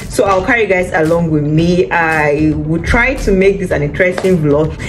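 With faint music in the background, a woman speaks at a moderate pace in a fairly low voice with ordinary pitch variation. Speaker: vlogger. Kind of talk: casual vlog chat. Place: home room. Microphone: phone near.

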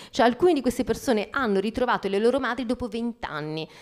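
Pitch variation in the woman's speech is ordinary. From Calabria, southern Italy. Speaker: novelist; guest. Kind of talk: author talk. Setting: library event with audience. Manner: hesitant, repeats words. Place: hall. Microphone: handheld.

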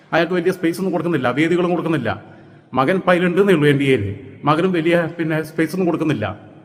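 A man with a high voice talks amid plainly audible background noise, his pitch moving in a normal way. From Kerala, Malappuram district (Manjeri). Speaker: political commentator. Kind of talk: political monologue. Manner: animated.

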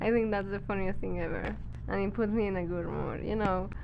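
A woman speaks over noticeable background noise. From Mexico. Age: 20s. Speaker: wedding photographer. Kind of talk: casual vlog talk to camera. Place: home room. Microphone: phone near.

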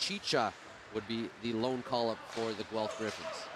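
Over noticeable background noise, a man talks at a fairly slow pace in a dry sound with no echo. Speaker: play-by-play commentator. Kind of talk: commentary. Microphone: headset.

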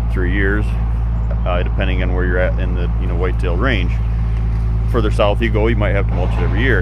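Through loud background noise, a man talks very fast, recorded dry with no echo. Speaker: channel host. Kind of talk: casual vlog tutorial. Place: open country. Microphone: phone near.

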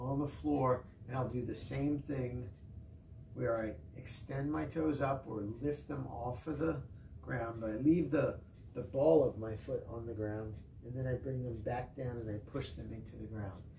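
Recorded with audible room echo and light background noise, a man speaks at a fairly slow pace. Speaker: fitness instructor. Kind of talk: tutorial. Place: gym. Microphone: camera far.

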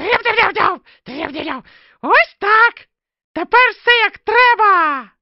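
Cartoonish character voice at an extremely high pitch, fairly slow, with long, frequent pauses. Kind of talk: homemade cartoon voice. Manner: cocky, excitable.

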